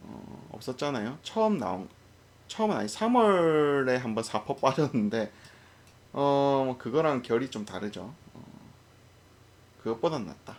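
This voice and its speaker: At a medium pitch, a man speaks with very wide pitch swings and big swings in loudness. His pace is fairly slow, with long, frequent pauses. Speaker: stock market commentator. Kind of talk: unscripted market commentary. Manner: stumbling over words; hesitant, many fillers.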